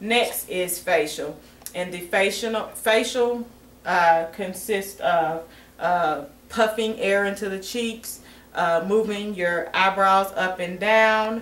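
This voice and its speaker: Very slow speech from a woman at medium pitch, with ordinary pitch variation, audible room echo and noticeable background noise. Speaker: nursing student demonstrating assessment. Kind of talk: demonstration tutorial. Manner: halting.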